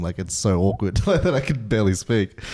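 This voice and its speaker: Talking at a fairly quick pace with an Australian accent, a man has a dark, mellow tone, a fairly low pitch, and ordinary pitch variation. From Australia (arrived from Burma at five). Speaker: podcast co-host. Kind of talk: casual chat. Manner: halting.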